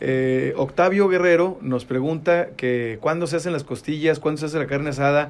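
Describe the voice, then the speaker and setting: Using a plain, everyday voice, a man speaks at a moderate pace with a fairly high pitch and ordinary pitch variation. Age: 40s. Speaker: radio host. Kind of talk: casual chat.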